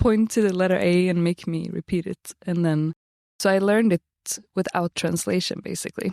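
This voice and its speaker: A woman's medium-pitched voice, dark and mellow in tone, with fairly even intonation and a dry, close sound free of echo. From Sweden, partly raised in Florida. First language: Swedish. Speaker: reality TV participant, expectant mother. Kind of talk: interview. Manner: conversational with many fillers.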